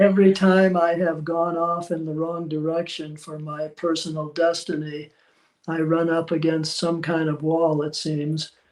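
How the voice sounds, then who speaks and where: Monotone and flat, a man talks in a high voice. His pace is fairly slow. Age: 80s+. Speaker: author on spirituality. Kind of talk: interview. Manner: halting, many fillers.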